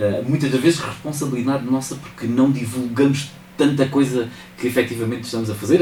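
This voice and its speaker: Audible room echo and noticeable background noise surround the recording. A man speaks with ordinary pitch variation. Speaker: mayor. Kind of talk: radio interview. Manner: hesitant with fillers.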